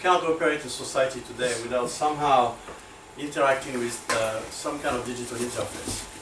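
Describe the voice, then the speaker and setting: Over noticeable background noise and audible room echo, a man with a slight continental European accent talks fairly quickly at a medium pitch. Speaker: accessibility advocacy executive. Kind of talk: lecture. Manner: hesitant, many fillers.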